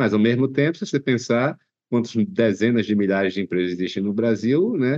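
A normal speaking voice from a man, medium in pitch, at a fairly quick pace with lively intonation. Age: 30s. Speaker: podcast host. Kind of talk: interview.

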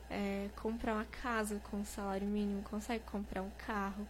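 At a moderate pace, a woman talks amid audible room echo. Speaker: singer and cosplayer. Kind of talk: casual interview.

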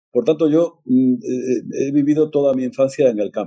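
A man's medium-pitched voice, dark and mellow in tone, at a fairly slow pace. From Extremadura, Spain (near Monfragüe). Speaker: conservationist, forestry association president. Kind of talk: interview.

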